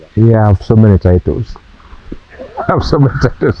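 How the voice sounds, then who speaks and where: There is noticeable background noise as a man speaks at a fairly quick pace. His pitch is medium and his intonation lively. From western Kenya, Kakamega. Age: 60s. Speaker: university professor. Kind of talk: interview.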